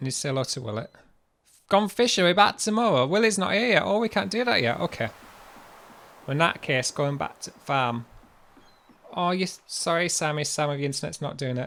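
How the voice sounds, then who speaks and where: Talking at a fairly quick pace with long, frequent pauses, a man with a Yorkshire accent has a fairly high pitch, very wide pitch swings and a bright, sharp tone. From Yorkshire, northern England. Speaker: livestreamer. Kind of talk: casual chat. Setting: livestream.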